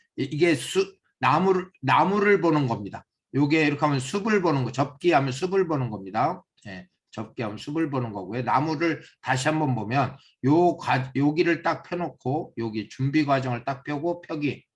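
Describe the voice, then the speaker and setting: Somewhat breathy, a man speaks with lively intonation, a fairly high pitch and a moderate pace. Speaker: seminar instructor. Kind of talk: lecture.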